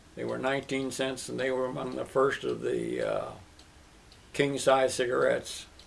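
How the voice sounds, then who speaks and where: Speaking with an American accent, a man keeps a moderate pace. Noticeable background noise can be heard. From US Midwest, Kansas City, Missouri. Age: 80s+. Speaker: interviewee sharing life stories. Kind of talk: oral history interview.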